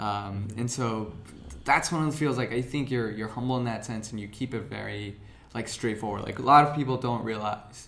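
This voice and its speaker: Music plays behind a man speaking at a fairly quick pace. His medium-pitched voice keeps a fairly even intonation. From India, moved to US as a child. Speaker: podcast host. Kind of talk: interview. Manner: halting.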